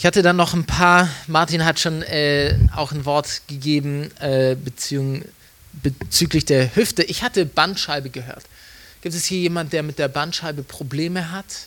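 A man speaks at a fairly slow pace. He has a plain, everyday voice with fairly high pitch. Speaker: evangelist. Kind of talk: sermon.

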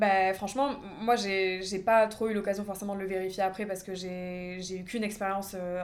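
In a room with audible echo, a woman of medium pitch speaks at a moderate pace in a monotone, flat intonation. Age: 20s. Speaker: nail artist. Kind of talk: casual chat.

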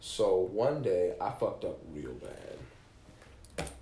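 A man's voice with audible room echo. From Kalamazoo, Michigan. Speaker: musician. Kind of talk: casual chat.

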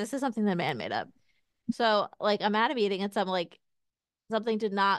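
Against a quiet background with a dry, close sound and no echo, a woman talks at a very fast pace with medium pitch and ordinary pitch variation. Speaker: podcast co-host, pregnant working mom. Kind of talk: casual chat.

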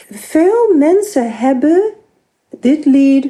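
A woman speaks with an English accent. Her pace is very slow and her intonation lively. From US, New York. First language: English (speaking Dutch). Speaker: composer. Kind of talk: interview. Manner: halting, many fillers.

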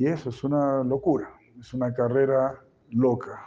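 A man's dark, mellow, medium-pitched voice at a very slow pace. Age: 70s. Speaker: spiritual teacher. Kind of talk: lecture. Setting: stage with audience.

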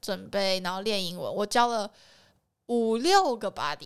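The recording is very clean, with a silent background. A woman with an unremarkable speaking voice talks at a medium pitch and a fairly slow pace. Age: 20s. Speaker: photographer. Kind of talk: casual chat.

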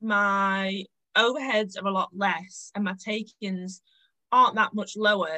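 A woman speaks with a Lancashire accent at a fairly slow pace. Her medium-pitched voice has a bright, sharp tone and fairly even intonation. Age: 20s. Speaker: cafe owner. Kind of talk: casual interview.

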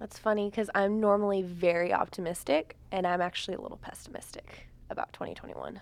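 Very fast, with hardly any pauses, a woman speaks at a medium pitch. Her intonation stays fairly even while her loudness swings widely. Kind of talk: casual chat.

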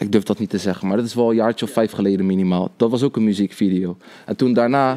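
A man speaks at a very fast pace in a dark, mellow tone. His intonation stays fairly even. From Netherlands, Rotterdam. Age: 20s. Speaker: cameraman and video editor. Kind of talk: casual chat.

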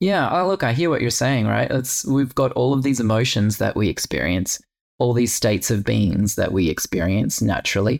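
A man's voice with vocal fry, lively intonation and a moderate pace. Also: medium pitch for a man. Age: 40s. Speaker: podcast host and yoga teacher. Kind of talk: casual interview chat.

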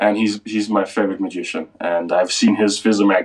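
A man speaks with a Danish accent. His pitch is fairly low and varies in an ordinary way. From Denmark. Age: 20s. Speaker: magician. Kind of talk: interview.

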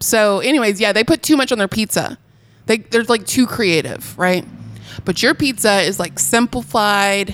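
A woman's voice with vocal fry at a moderate pace. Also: medium pitch for a woman, ordinary pitch variation, very clean recording, silent background. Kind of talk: casual chat.

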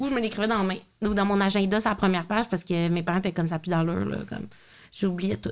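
Speaking very fast with a Quebec accent, a woman has a medium-pitched voice. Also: ordinary pitch variation, very even loudness. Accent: Québécois French. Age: 30s. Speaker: podcast host. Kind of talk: casual chat.

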